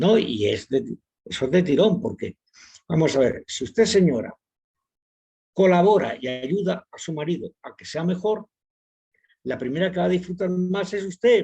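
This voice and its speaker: A man with a high pitch and a dark, mellow tone talks with lively intonation at a moderate pace. He takes long, frequent pauses, and the sound is dry and close with no echo. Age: 70s. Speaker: psychiatrist and author. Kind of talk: webinar lecture.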